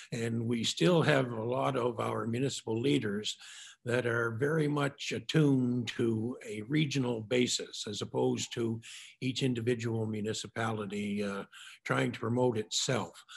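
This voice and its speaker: With a Maritime Canadian accent, a man talks at a moderate pace in a medium pitch, his pitch varying in an ordinary way. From New Brunswick, Carleton County. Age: 70s. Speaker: mayor. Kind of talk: panel remarks. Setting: virtual panel event.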